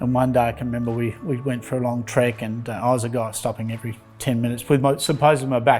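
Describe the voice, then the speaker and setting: A man with an Australian accent talks at a very fast pace in a medium pitch. Music plays in the background. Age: 60s. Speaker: patient. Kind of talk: testimony.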